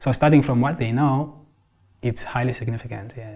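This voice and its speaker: In a very clean recording with a silent background, a somewhat breathy voice with a dark, mellow tone and ordinary pitch variation moves at a fairly quick pace. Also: man. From South Africa, Xhosa. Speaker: counsellor for refugee children and families. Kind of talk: interview.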